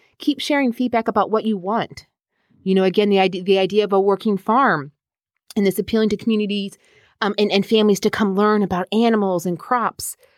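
On a very clean recording with a silent background and a dry, close sound with no echo, a woman speaks with an American accent at a fairly quick pace. She has a normal speaking voice of medium pitch with ordinary pitch variation. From US, northern Virginia. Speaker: park manager. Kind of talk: interview.

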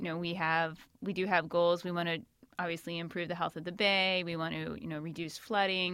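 Speaking at a fairly quick pace in a normal speaking voice, a woman with an American accent and a fairly low pitch is heard on a very clean recording with a silent background. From Northern Virginia, Shenandoah Valley. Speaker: county stormwater permit coordinator. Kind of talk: interview.

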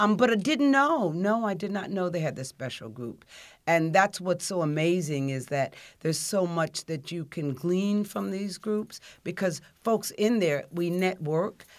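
An unremarkable speaking voice at a fairly slow pace, on a very clean recording with a silent background. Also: woman, fairly low pitch for a woman. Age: 60s. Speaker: social services outreach manager. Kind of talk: casual interview.

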